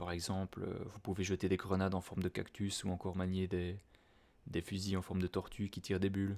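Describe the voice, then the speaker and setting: A calm, soft-spoken man talks at a fairly quick pace in a very deep, low voice with a dark, mellow tone. The recording is very clean, with a silent background. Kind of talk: casual talk to camera. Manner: soft-spoken, calm.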